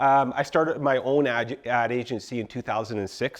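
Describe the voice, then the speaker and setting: A man talks at a very fast pace in a Canadian accent. His pitch sits in the medium range. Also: quiet background. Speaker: marketing agency owner. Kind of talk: workshop presentation. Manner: animated.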